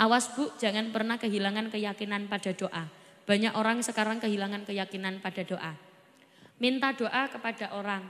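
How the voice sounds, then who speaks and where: Her pitch is fairly high, and this woman keeps a fairly even intonation at a moderate pace. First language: Javanese (speaking Indonesian). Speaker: Islamic preacher. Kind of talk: sermon. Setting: stage with audience.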